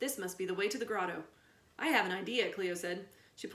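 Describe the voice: Someone reads the words aloud plainly. Nothing more is added to the reading.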